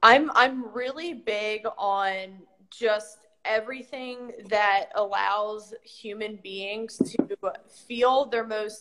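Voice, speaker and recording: Very slowly, a woman with an American accent speaks at a fairly high pitch with fairly even intonation. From Maryland, US. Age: 30s. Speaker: strength coach. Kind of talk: casual chat.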